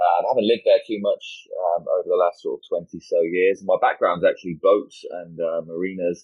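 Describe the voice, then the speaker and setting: Speaking at a fairly quick pace with a British accent, a man lets his loudness swing widely. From United Kingdom. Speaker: crypto industry executive. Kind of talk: interview. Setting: livestream video call. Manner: halting, many fillers.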